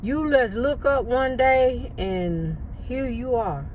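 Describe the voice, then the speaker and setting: A woman speaking, with audible room echo and noticeable background noise. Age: 60s. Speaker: lifestyle vlogger. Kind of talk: casual vlog monologue. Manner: relaxed, rambling with fillers.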